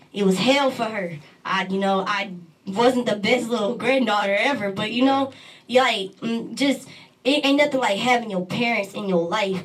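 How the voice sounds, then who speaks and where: Over noticeable background noise, a woman speaks at a moderate pace with a fairly high pitch and ordinary pitch variation. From Texas. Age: 20s. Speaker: poet and rapper. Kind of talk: interview.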